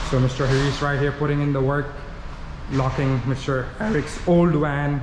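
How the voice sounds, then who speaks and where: Amid audible room echo, a man speaks at a moderate pace with very even loudness. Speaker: vlogger / prank YouTuber. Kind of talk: casual vlog chat. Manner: animated.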